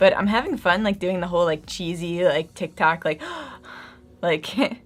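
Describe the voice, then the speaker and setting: With music in the background, the speaker talks at a fairly quick pace with ordinary pitch variation. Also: woman. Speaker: beauty vlogger. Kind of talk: casual chat. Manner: fast.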